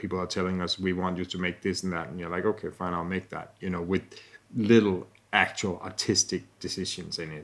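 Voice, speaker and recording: A man with a Danish accent speaks at a fairly quick pace in a very deep, low pitch. His intonation is monotone and flat, and the recording is very clean with a silent background. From Denmark. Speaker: podcast host, texture artist. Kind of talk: casual interview conversation.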